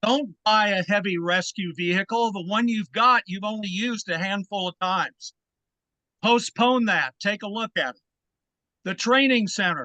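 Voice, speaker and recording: A man with a high voice speaks at a moderate pace, raised and projected. The tone is bright and sharp, and the sound is dry and close with no echo. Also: ordinary pitch variation. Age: 70s. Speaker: public commenter, former state legislator, landlord. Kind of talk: public comment at a board meeting. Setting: public board meeting.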